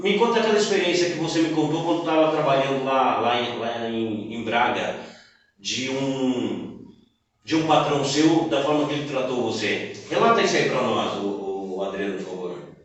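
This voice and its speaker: Speaking with a Brazilian accent at a moderate pace, a man with a fairly high pitch makes very wide pitch swings amid audible room echo. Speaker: podcast host. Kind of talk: interview.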